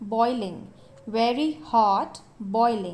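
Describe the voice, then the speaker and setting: A woman speaks with an Indian accent at a fairly high pitch. Her pace is very slow. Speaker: English teacher. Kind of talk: vocabulary list drill, read twice.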